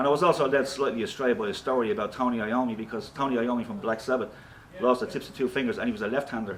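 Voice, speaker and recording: Talking at a very fast pace, a man with a medium pitch and ordinary pitch variation shows big swings in loudness. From Ireland, Dublin (Ballyfermot). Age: 60s. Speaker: rock guitarist and singer. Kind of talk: interview. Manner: casual.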